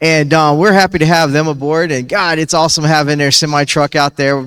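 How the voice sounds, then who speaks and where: With a fairly high pitch, the man speaks at a fairly quick pace. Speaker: esports event host. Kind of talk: live event hosting. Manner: animated.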